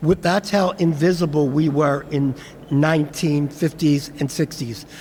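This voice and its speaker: A man with a Philadelphia accent, moderate pace, fairly even intonation, and noticeable background noise. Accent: Philadelphia American English. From Philadelphia, US. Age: 70s. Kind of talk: speech at commemoration event.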